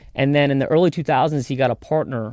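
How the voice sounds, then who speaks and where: A man with an American accent talks very fast in a dark, mellow tone with fairly even intonation, recorded dry and close with no echo. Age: 20s. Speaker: contractor. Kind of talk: casual chat.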